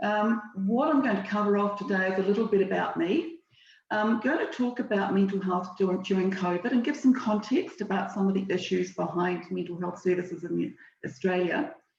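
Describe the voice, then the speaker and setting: A woman of medium pitch speaks with a New Zealand accent. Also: ordinary pitch variation, fairly quick pace. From southern New Zealand. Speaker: financial services relationship manager. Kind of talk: webinar presentation. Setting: video call webinar. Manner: hesitant, many fillers.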